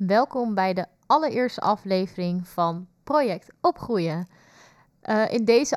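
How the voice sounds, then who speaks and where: A woman with an unremarkable speaking voice, medium pitch and ordinary pitch variation speaks at a fairly slow pace, in a very clean, silent recording with a dry, close sound and no echo. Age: 20s. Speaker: youth nurse and podcast co-host. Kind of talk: podcast introduction.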